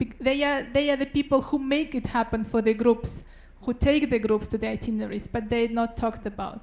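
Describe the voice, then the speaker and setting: A woman with a Russian accent talks with ordinary pitch variation. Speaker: doctoral student researcher. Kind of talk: short research talk (Ignite talk).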